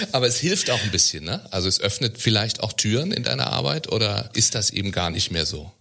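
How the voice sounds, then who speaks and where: This man's fairly low voice swings very widely in pitch and carries vocal fry as he talks at a fairly quick pace. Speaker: podcast host. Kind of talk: interview. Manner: filler-heavy.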